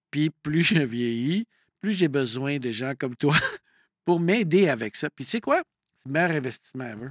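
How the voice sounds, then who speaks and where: A fairly high-pitched man at a moderate pace, with lively intonation, big swings in loudness and long, frequent pauses, in a very clean, dry, close recording with a silent background and no echo. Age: 50s. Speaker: coach and entrepreneur. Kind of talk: casual interview conversation.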